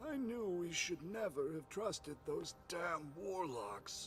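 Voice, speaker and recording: A man puts on a character voice at a high pitch, with clear background noise behind him. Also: fairly slow pace. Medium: video game. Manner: terse, controlled.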